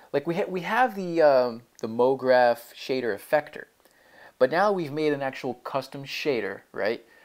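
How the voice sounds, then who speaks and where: This man has a fairly high pitch. He speaks with lively intonation. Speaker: programming tutorial maker. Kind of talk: screen-recorded coding tutorial. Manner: fast; casual, halting with many fillers.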